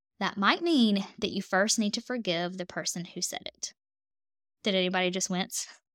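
On a very clean recording with a silent background, a woman with a Southern US accent speaks at a moderate pace, medium pitch and fairly even intonation. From US South. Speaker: dietitian and podcast host. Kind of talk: solo podcast monologue.

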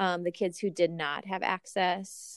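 A woman speaks with a fairly low pitch and a calm tone. Her pace is fairly slow. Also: dry, close sound with no echo. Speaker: reading interventionist teacher and doctoral student. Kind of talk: casual interview chat.

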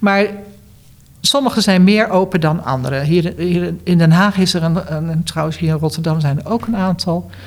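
A woman's fairly low voice, a plain, everyday voice, at a moderate pace with ordinary pitch variation. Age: 60s. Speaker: retired cancer support worker and former patient. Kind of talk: interview.

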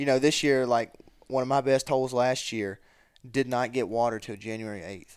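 Moderately paced speech in a Southern US accent, fairly even in intonation yet with big swings in loudness, on a very clean recording with a silent background. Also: man, medium pitch for a man. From Mississippi (Columbus). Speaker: college student and duck hunter. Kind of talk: casual chat.

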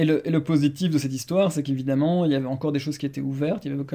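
A man with a fairly high pitch talks very fast, his intonation staying fairly even. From Belgium. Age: 30s. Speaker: marketing director. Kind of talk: interview. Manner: halting.

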